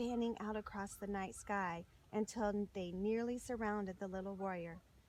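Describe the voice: Text read aloud plainly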